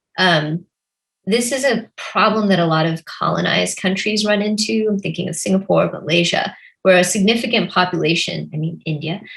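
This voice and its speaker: Speaking fairly quickly, a woman uses a medium pitch with ordinary variation and some vocal fry. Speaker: novelist. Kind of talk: conversational interview.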